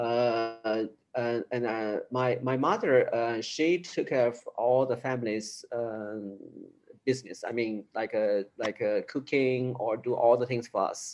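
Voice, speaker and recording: A man with a Chinese accent at medium pitch, very slow in pace, with fairly even intonation. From China, Sichuan province. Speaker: improviser. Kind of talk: interview. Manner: halting.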